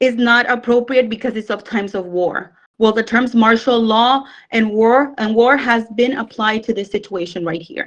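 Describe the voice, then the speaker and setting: This woman speaks at a fairly high pitch with a non-native accent. Her pitch varies in an ordinary way. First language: not English. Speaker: participant in religious group discussion. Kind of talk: speech in group debate.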